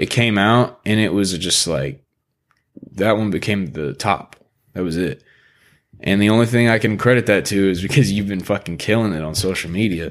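At a moderate pace, a man speaks in an unremarkable speaking voice with a fairly low pitch and ordinary pitch variation. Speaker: podcast host. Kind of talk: casual chat. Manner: laid-back, casual.

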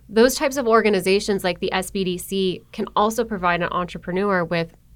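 A woman with an American accent talks at a fairly quick pace in a normal speaking voice. Her medium pitch follows a fairly even intonation. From Buffalo, New York. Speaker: economic development marketer for a utility. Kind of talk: podcast interview. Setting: studio in a business innovation building.

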